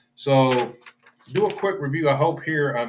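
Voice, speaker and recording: His pitch shows ordinary variation. The man keeps to a moderate pace. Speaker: bible study teacher. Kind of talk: bible study lecture. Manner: halting, stumbles over words; informal, unscripted.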